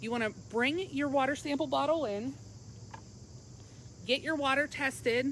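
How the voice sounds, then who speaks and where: Speaking loudly at a moderate pace, a woman uses a high pitch with ordinary pitch variation. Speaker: pool store expert giving lessons. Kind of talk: live-stream tutorial. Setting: outdoors by her pool, live stream.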